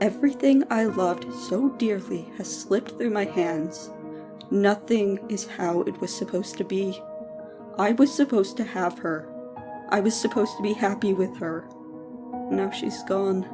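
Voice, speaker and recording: Lively intonation and a moderate pace mark this speech, with music in the background. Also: woman, medium pitch for a woman. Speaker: story narrator. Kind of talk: horror story narration.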